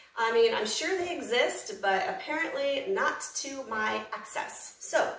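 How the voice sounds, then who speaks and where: With an American accent, the speaker talks at a fairly slow pace with very wide pitch swings, amid audible room echo and noticeable background noise. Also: woman, high pitch for a woman. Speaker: cooking channel host. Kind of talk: cooking tutorial. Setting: home kitchen. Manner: animated.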